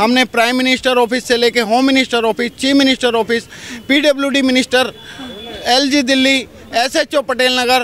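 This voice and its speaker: A man's extremely high voice in a monotone, flat intonation, with very even loudness and noticeable background noise. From Delhi. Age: 60s. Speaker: local resident complaining. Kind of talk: street interview.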